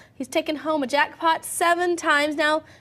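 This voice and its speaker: The speaker is a woman. She has a Southern US accent. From US South. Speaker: TV host. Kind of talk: TV interview.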